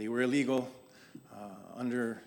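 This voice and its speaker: A man with a Canadian accent, medium-pitched, at a very fast pace, monotone and flat, with audible room echo. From Ottawa Valley, Canada. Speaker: guest speaker. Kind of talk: talk to congregation. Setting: church service, also on Zoom. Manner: halting.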